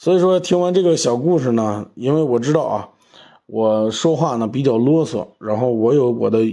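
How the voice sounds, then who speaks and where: Against a quiet background, a man with a medium pitch speaks in a dark, mellow tone with ordinary pitch variation. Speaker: car podcast host. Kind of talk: casual monologue podcast. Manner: hesitant with many fillers and repetitions.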